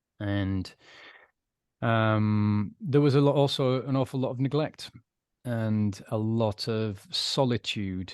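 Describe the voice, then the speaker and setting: In a British accent, a man talks at a very slow pace and a medium pitch. His pitch variation is ordinary, and the background is quiet. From UK. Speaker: recovered alcoholic, former adman. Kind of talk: interview testimony.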